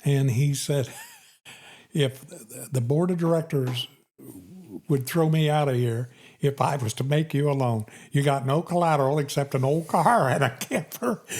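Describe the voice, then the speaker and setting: A man speaks with long, frequent pauses, sounding somewhat breathy. The recording is very clean, with a silent background. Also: fairly high pitch for a man, ordinary pitch variation, moderate pace, very even loudness. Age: 80s+. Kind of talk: interview answer.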